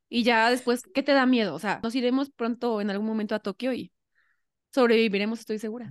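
Recorded with a dry, close sound and no echo, a woman speaks at a fairly quick pace with ordinary pitch variation. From Mexico, Xalapa (Veracruz). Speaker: podcast host, amateur runner. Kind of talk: casual chat.

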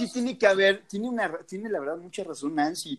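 Here a man speaks in an animated tone. The recording is very clean, with a silent background. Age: 40s. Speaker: podcast co-host. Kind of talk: casual chat.

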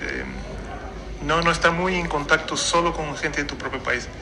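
Fairly high-pitched male voice amid noticeable background noise and audible room echo. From Brazil. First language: Portuguese (speaking Spanish). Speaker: traveler and wine taster. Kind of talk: interview. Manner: halting, many fillers.

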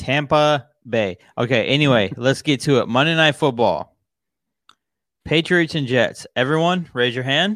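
In a very clean recording with a silent background, a man with a normal speaking voice talks at a fairly slow pace, with fairly high pitch and ordinary pitch variation. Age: 30s. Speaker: sports podcast host. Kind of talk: casual sports chat.

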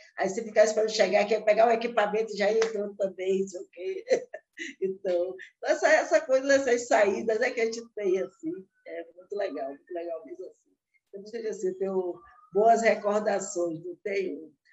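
A woman with a normal speaking voice talks at a fairly quick pace, her fairly high pitch carried by lively intonation and big swings in loudness. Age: 60s. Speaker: chef and cookbook author. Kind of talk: interview.

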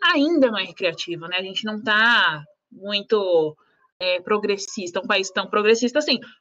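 Lively intonation runs through a voice whose tone is bright and sharp. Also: woman, medium pitch for a woman, moderate pace. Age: 20s. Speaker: lawyer. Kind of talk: casual chat. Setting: live stream.

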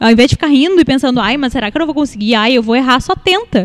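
Her pitch high and her intonation lively, a woman is speaking. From Rio Grande do Sul, Brazil (São Leopoldo). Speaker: makeup artist and digital influencer. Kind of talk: casual chat.

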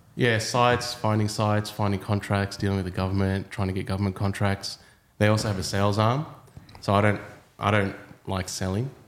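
A man speaks with an Australian accent at a fairly quick pace. His pitch is fairly low and his intonation fairly even. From Australia, Sydney. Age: 30s. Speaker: property developer. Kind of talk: casual chat.

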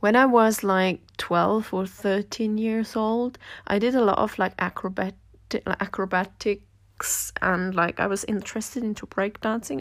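A woman speaks with a Swiss German accent at medium pitch and a moderate pace. Her intonation is fairly even, on a very clean recording with a silent background. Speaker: podcaster and dancer. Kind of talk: personal monologue. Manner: casual, with fillers and hesitations.

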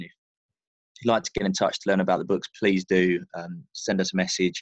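A man with a British accent speaks at a very fast pace in a very deep, low pitch. The sound is dry and close, with no echo. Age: 30s. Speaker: author, former sales professional. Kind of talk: casual interview chat. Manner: hesitant, many fillers.

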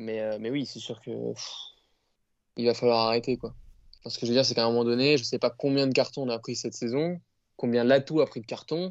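A man's medium-pitched voice at a fairly quick pace, with fairly even intonation, big swings in loudness and long, frequent pauses. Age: young. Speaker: rugby fan podcast co-host. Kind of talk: casual chat.

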